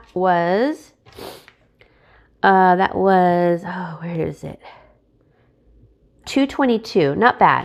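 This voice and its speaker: With ordinary pitch variation, a woman's voice holds a medium pitch. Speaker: frugal living vlogger. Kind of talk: casual grocery haul vlog.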